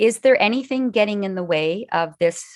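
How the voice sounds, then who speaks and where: An ordinary speaking voice moves at a moderate pace. Its intonation is lively. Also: woman. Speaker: arts presenter and interviewer. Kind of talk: online presentation. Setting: video call.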